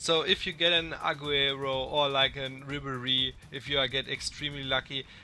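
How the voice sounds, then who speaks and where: A man's fairly high voice with a non-native accent, at a moderate pace. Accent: non-native English speaker. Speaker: gaming youtuber. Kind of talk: tutorial. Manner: some hesitations.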